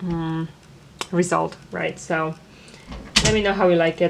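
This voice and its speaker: Speaking at a fairly slow pace, a woman has a non-native accent. Her pitch is medium. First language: not English. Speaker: embroidery podcaster. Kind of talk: product review. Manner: hesitant, many fillers.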